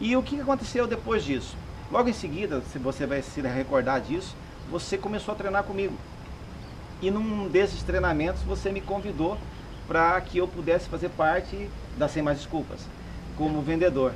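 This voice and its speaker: A man talks at a moderate pace in a high voice with lively intonation. Long, frequent pauses break his speech over noticeable background noise. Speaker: salesman and sales trainer. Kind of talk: casual interview chat, personal story.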